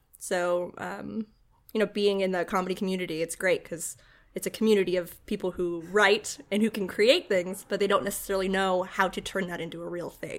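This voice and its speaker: A woman talks at a fairly quick pace in an ordinary speaking voice, medium in pitch with fairly even intonation. The recording is very clean, with a silent background. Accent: American. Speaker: comedian and writer. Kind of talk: casual chat. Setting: host's home.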